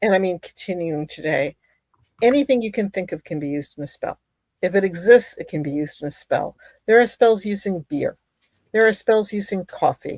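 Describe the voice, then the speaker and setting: A medium-pitched woman with an American accent at a fairly quick pace, big swings in loudness, and a dry, close sound with no echo. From US. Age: 60s. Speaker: author and witchcraft practitioner. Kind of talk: interview chat. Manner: halting.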